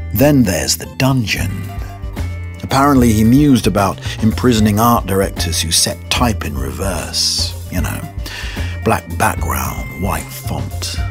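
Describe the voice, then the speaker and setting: Over clear background music, a man with a very deep, low voice talks fairly slowly, his intonation lively. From British. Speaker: voice over artist. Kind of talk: documentary-style narration. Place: booth. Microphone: studio mic.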